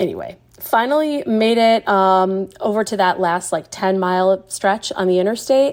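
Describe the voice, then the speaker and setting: A woman speaks at a moderate pace with hardly any pauses, in an ordinary speaking voice. Her medium pitch shows ordinary pitch variation. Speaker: festival attendee sharing a memory. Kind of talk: personal anecdote. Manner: casual with many fillers.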